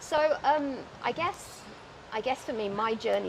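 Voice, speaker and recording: A woman with a British accent talks at a very slow pace over noticeable background noise. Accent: British, still noticeable. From UK. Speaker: wheelchair athlete. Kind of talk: casual chat. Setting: outdoors.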